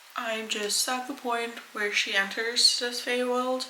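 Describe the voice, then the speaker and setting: Fairly even intonation comes through over noticeable background noise, with audible echo in the room. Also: woman. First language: not English. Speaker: book vlogger. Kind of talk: casual vlog talk.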